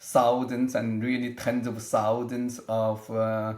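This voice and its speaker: A man talks at a very slow pace, his pitch in the medium range. Audible room echo surrounds his voice. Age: 60s. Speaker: aging researcher, scientist. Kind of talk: interview. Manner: halting, with many fillers and restarts.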